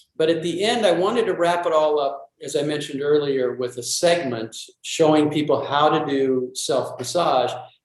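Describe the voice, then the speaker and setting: Pitched fairly high, a man talks at a moderate pace with ordinary pitch variation and hardly any pauses, and audible room echo surrounds him. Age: 60s. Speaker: self-massage teacher. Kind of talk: interview.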